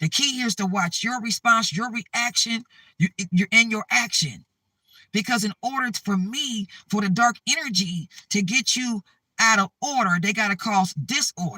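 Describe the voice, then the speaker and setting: In a dry, close sound with no echo, a man projects a raised, high-pitched voice with a bright, sharp, animated tone, ordinary pitch variation and a moderate pace. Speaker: spiritual vlogger. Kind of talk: spiritual talk to camera.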